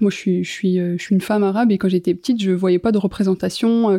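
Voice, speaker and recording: A woman speaks at a fairly quick pace in a medium pitch. Her intonation is monotone and flat, with a dark, mellow tone. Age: 30s. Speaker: influencer marketing agency founder. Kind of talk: casual interview. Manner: hesitant, repeats words.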